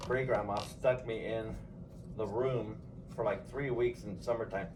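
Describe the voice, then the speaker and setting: In a Californian accent, a man speaks at a moderate pace and medium pitch, with audible room echo. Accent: Californian American English. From Los Angeles, San Fernando Valley. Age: 60s. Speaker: grandfather interviewed by family. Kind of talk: casual family interview.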